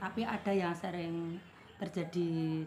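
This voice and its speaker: A woman speaks at a fairly slow pace, somewhat breathy. Her intonation stays fairly even. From Indonesia, East Java (Tulungagung). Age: 50s. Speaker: small market trader. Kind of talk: interview.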